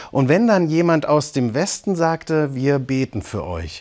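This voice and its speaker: A man talks in a calm tone at a fairly slow pace. The recording is very clean, with a silent background. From East Germany, Eisenach (Thuringia). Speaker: pastor. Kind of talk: scripted broadcast reflection. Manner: calm, measured.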